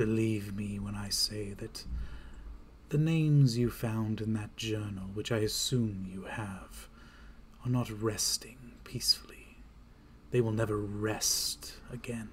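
A man puts on a character voice with fairly low pitch. He speaks at a fairly slow pace with long, frequent pauses. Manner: menacing, condescending.

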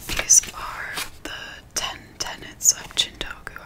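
A woman's soft-spoken whispering at a very slow pace over noticeable background noise. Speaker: content creator. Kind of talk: reading aloud, ASMR-style. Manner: soft whisper reading aloud. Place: home room. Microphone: studio mic.

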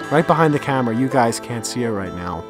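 Clear music plays in the background as a man speaks in a dry recording with no echo. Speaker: astrophotography vlogger. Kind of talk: casual vlog chat. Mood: excited, relaxed. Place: open country. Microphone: phone near.

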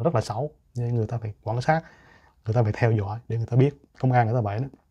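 A man talks at a very fast pace in a somewhat breathy voice. The background is quiet. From Vietnam. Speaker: YouTuber. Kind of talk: monologue. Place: home room.

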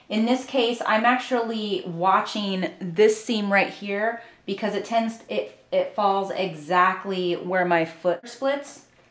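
A woman's very slow speech with ordinary pitch variation and audible room echo. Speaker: sewing instructor. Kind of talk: tutorial. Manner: casual, uses fillers like um. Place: home room.

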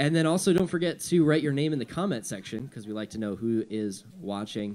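A man at a fairly quick pace with very wide pitch swings. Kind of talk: casual welcome to congregation. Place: church. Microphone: studio mic.

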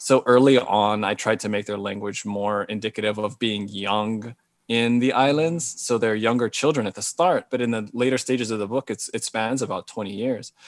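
At a fairly quick pace, a man with an American accent speaks in a dry sound with no echo over a quiet background. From Hawaii. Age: 40s. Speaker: novelist. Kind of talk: interview. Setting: video call. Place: home room. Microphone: earbuds.

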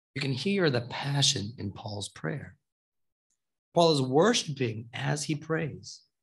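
A man speaks at a fairly slow pace with lively intonation and a somewhat breathy sound. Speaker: preacher. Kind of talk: sermon. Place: church. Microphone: podium.

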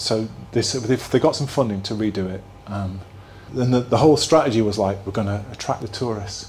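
The speaker has a Yorkshire accent and talks at a fairly quick pace with ordinary pitch variation. Room echo is audible. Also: man. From northern England, Halifax (Yorkshire). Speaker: place branding consultant, keynote speaker. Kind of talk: keynote talk. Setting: stage with live audience. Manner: casual, hesitant with repetitions.

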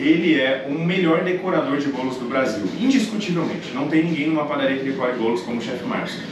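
A man speaks at a very fast pace with hardly any pauses. Noticeable background noise and audible room echo are present. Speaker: channel host. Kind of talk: casual cooking show chat. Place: kitchen. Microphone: camera far.

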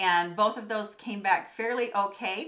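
The voice has a bright, sharp tone and ordinary pitch variation. It moves at a moderate pace over a quiet background. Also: woman. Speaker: vlogger. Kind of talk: casual vlog storytelling. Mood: serious, recounting health scare. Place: home room.

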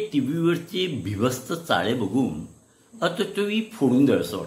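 With audible room echo, a man speaks at a high pitch, his voice swinging very widely in pitch. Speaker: dubbing artist introducing herself. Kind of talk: talk show host conversation. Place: home room. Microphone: phone near.

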